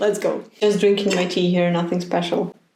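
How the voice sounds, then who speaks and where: With audible room echo and noticeable background noise, a woman speaks in a Ukrainian accent. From Ukraine. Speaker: knitting content creator. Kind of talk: casual vlog. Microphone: laptop mic.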